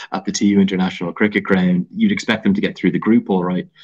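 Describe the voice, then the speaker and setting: A man with an Irish accent over a quiet background. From Ireland. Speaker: cricket commentator and former player. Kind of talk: podcast interview answer. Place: home room. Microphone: video call.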